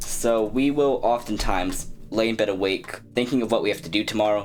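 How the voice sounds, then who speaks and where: Music underneath a man talking fairly quickly in a medium pitch, his pitch varying in an ordinary way. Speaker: fitness content creator. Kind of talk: tutorial. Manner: stuttering.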